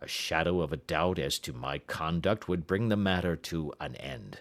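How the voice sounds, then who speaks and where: A man does a raspy put-on character voice at a very deep, low pitch and a moderate pace, on a very clean recording with a silent background. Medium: read story. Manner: agitated, proud.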